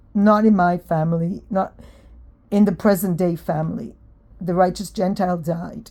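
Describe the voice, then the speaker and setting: Speaking with an American accent, a woman has a dark, mellow tone. She keeps a moderate pace and ordinary pitch variation. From Israel. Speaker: vlogger. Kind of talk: casual monologue. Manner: hesitant, with fillers.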